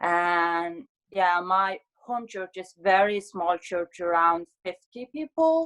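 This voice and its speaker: In a Mongolian accent, a woman speaks very slowly at a medium pitch with ordinary pitch variation, the sound dry and close with no echo. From Mongolia, Ulaanbaatar. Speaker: graduate student, scholarship recipient. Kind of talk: interview.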